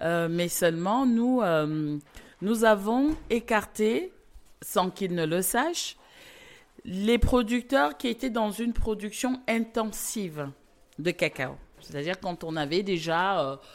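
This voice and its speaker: A woman's medium-pitched voice, very slow with long, frequent pauses and very wide pitch swings, in a very clean recording with a silent background. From Cameroon. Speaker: chocolate maker. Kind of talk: interview. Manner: halting.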